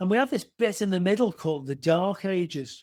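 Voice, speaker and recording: Ordinary pitch variation marks this voice with an English accent, captured in a very clean recording with a silent background. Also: man. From England. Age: 60s. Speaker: retired police officer and author. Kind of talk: interview.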